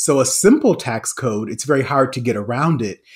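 Lively intonation and a somewhat breathy voice on a very clean recording with a silent background. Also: man. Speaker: economics professor. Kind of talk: interview. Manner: laughs often.

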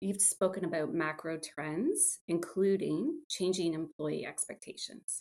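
This woman has a plain, everyday voice at a medium pitch, talking at a fairly slow pace with ordinary pitch variation. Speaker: podcast host. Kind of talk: casual interview chat.

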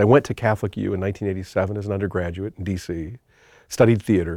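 With an American accent, a man talks at a very deep, low pitch and fairly even intonation, the sound dry and close with no echo. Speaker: theology professor. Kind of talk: testimony. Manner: halting.

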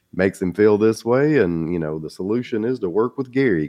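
Fairly low-pitched male speech in a Southern US accent, fairly quick, with lively intonation. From US South. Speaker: small business advisor and entrepreneur. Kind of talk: casual interview.

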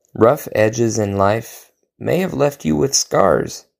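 A man with an American accent speaks at a fairly slow pace. The recording is very clean, with a silent background. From Oklahoma. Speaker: poet. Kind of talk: reading aloud.

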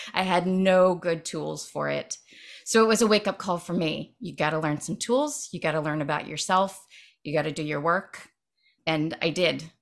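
On a very clean recording with a silent background, a woman with a normal speaking voice and a fairly low pitch speaks at a moderate pace with ordinary pitch variation. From Ohio, US Midwest. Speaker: writer and writing workshop leader. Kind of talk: casual interview chat.

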